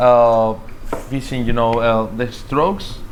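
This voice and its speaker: Speaking fairly slowly with a Spanish accent, a man of medium pitch is heard over noticeable background noise and audible room echo. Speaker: podcast host. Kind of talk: casual interview chat. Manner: halting.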